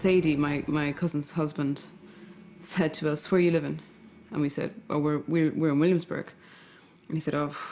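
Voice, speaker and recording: The speaker has an Irish accent. The delivery moves at a fairly quick pace. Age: 30s. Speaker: novelist. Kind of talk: interview.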